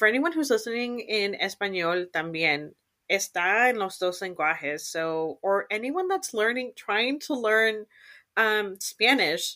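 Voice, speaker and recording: A woman talks at a fairly slow pace in an ordinary speaking voice. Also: fairly high pitch for a woman, lively intonation. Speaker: podcast host. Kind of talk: casual interview chat, bilingual. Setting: remote recording, online program.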